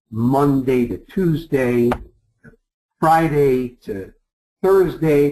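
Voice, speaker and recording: With a New York accent, a man talks in a fairly high voice with lively intonation. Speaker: travel sales presenter. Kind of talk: sales pitch.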